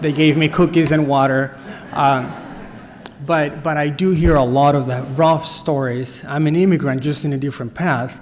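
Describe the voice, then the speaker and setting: In a Spanish accent, a man with a fairly high pitch talks at a moderate pace and fairly even intonation, with audible room echo and noticeable background noise. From Costa Rica. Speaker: nonprofit director. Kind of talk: workshop talk. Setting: church. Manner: halting.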